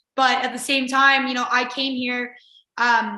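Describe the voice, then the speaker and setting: A woman in an American accent, high-pitched and monotone with flat intonation, with audible room echo. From Virginia. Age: 20s. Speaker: college lacrosse player. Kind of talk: interview.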